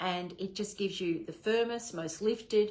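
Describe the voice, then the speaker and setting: With an Australian accent, a woman speaks at a moderate pace in a medium pitch with ordinary pitch variation. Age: 60s. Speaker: direct sales manager. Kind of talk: training talk. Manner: animated.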